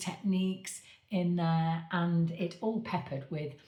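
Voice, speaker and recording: At a very slow pace, a woman talks in a fairly low, somewhat breathy voice. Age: 60s. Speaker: medium and coach, author. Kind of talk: direct-to-camera appeal. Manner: halting, with many fillers.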